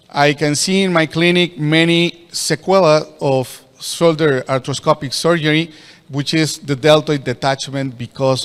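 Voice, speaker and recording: A man with a Spanish accent, fairly high-pitched, at a moderate pace. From Mexico. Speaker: orthopedic surgeon. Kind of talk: lecture. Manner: halting.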